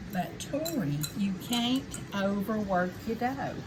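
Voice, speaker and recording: Through noticeable background noise, a woman with a Southern US accent speaks at a medium pitch with lively intonation. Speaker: home cook teaching her granddaughter. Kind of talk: cooking tutorial. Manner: animated.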